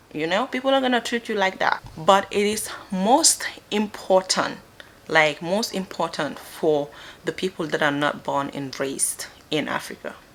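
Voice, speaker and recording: A woman's medium-pitched voice with a Gambian accent, at a moderate pace, with very wide pitch swings. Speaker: vlogger. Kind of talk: casual advice talk to camera.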